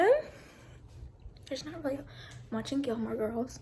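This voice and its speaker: A woman with an American accent is heard with audible room echo. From Kentucky, small town. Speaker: vlogger, nursing student. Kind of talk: casual vlog introduction. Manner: soft-spoken.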